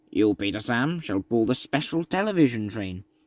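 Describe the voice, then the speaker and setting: This put-on character voice swings very widely in pitch at a moderate pace, with a dry, close sound and no echo. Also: man, medium pitch for a man. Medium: read story. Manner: grave.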